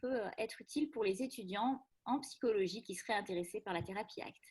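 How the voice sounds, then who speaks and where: A woman speaks with fairly high pitch and ordinary pitch variation on a very clean recording with a silent background. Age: 40s. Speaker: psychologist. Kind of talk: casual presentation. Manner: hesitant, many fillers.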